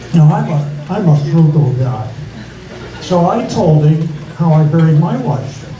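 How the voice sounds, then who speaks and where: Against light background noise and audible room echo, a man with a fairly high pitch speaks with long, frequent pauses. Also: fairly slow pace. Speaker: stand-up comedian. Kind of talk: stand-up comedy set. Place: stage.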